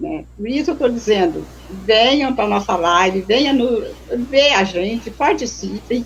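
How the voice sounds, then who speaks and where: A woman's fairly high voice with lively intonation at a fairly slow pace, over noticeable background noise. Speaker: activist, former street dweller. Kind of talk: live stream talk. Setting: online live stream from remote house.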